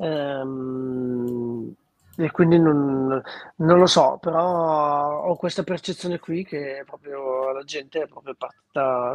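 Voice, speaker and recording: Here is a man with an ordinary speaking voice, fairly high in pitch. His intonation is fairly even, and the sound is dry and close with no echo. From northern Italy, Lombardy (Treviglio area). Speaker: singer-songwriter. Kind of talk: interview.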